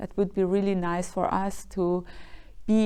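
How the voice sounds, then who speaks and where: A woman speaks with a Persian accent. Her pace is fairly slow. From Iran. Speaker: dancer and choreographer. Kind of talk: interview. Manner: halting, many fillers.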